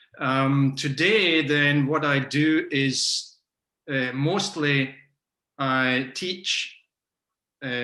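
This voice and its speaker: A man with a Scottish accent, bright, sharp tone and fairly even intonation, speaking at a very slow pace. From Scotland. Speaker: macrobiotics teacher and nutrition consultant. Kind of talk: interview. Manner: hesitant, many fillers.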